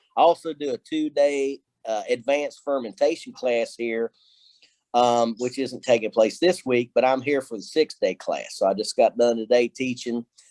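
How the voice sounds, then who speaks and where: Recorded with a dry, close sound and no echo, a man speaks at a moderate pace in a Kentucky accent. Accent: Kentucky hillbilly. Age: 50s. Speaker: distiller and professor. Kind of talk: casual interview.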